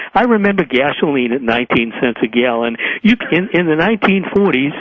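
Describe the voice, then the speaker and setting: Someone with an American accent talks at a fairly quick pace, with very wide pitch swings and very even loudness, against noticeable background noise. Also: man, fairly high pitch for a man. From US. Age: 80s+. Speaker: author and political writer. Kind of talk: interview. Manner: halting, many repetitions.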